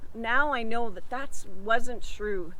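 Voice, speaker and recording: A bright, sharp tone at a fairly slow pace, with ordinary pitch variation. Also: woman. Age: 60s. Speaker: lifestyle vlogger. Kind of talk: casual vlog monologue. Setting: outdoors in a park.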